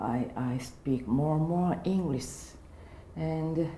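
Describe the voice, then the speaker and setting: A woman speaks with a very deep, low pitch and very wide pitch swings. Audible room echo surrounds her voice. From Japan, Niigata. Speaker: English seminar student, relaxation exercise teacher. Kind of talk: interview in beginner English. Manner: halting, hesitant.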